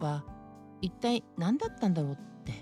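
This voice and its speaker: A woman with very wide pitch swings over music in the background. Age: 60s. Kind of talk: casual talk to camera.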